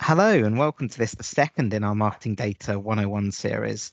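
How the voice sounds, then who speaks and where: A man with a British accent talks at a fairly quick pace in a medium pitch. His pitch varies normally, and the background is quiet. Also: dry, close sound with no echo. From UK. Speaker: data analytics presenter. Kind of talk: tutorial.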